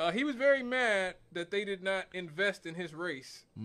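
This man talks at a moderate pace with a bright, sharp tone. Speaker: radio talk show host. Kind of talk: talk radio commentary. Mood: amused, lightly joking. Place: studio. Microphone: studio mic.

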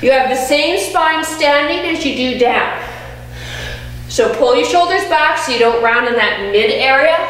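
Audible room echo surrounds a woman's high-pitched voice. She talks at a fairly slow pace. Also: ordinary pitch variation. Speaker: personal trainer. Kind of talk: fitness workout instruction. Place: gym.

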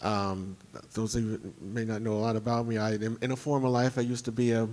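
Fairly even intonation and a fairly quick pace from a man's voice. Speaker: competitive pinball player and rules designer; panelist. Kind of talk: convention panel talk. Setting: stage with audience. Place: hall. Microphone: handheld.

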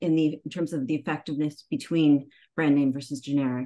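A woman talking at a very fast pace. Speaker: remote conference presenter. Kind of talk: presentation talk. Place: home room. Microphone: video call.

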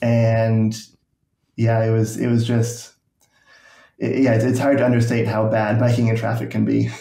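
A man with a dark, mellow, somewhat breathy voice speaks at a moderate pace with long, frequent pauses, monotone, flat intonation and very even loudness. There is audible room echo over a quiet background. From rural Nova Scotia, Canada. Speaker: YouTube urbanism creator. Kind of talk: casual interview.

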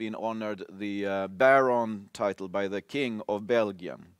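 A man's fairly low voice in a Swedish accent, moderate in pace, with fairly even intonation, dry sound with no echo and a quiet background. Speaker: symposium chair; symposium moderator. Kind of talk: conference moderation. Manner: halting. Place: stage.

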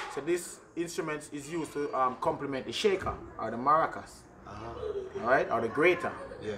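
A man speaking at a fairly quick pace, with ordinary pitch variation, long and frequent pauses, and noticeable background noise. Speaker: drummer and reggae musician; cultural guide explaining drums. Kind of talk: interview explaining traditional drums. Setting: outdoors at a community yard. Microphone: camera far.

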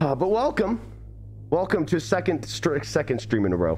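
A man at a moderate pace with music in the background. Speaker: livestreamer. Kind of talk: casual stream chat. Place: home room. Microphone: studio mic.

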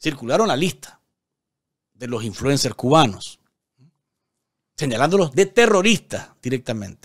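Over a silent background in a very clean recording, a man talks at a fairly slow pace in a medium pitch, with big pitch swings and long, frequent pauses.

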